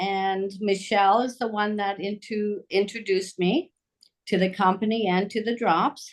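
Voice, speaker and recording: A woman's plain, everyday voice at medium pitch with fairly even intonation. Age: 60s. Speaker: nurse and yoga instructor. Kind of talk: testimony.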